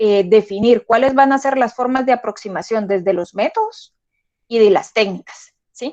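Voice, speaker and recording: The sound is dry and close, with no echo. Intonation rises and falls in a lively way. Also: woman. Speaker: lecturer. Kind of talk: lecture. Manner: fast.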